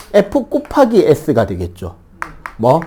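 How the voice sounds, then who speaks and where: In a Gyeongsang accent, a man talks in an animated tone. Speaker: middle school science teacher. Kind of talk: classroom lecture. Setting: classroom with students. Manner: animated, conversational with rhetorical questions.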